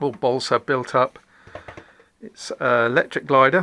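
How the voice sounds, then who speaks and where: Very slowly and with fairly even intonation, a man speaks in a bright, sharp tone with vocal fry. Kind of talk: casual tour narration. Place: home room. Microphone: phone near.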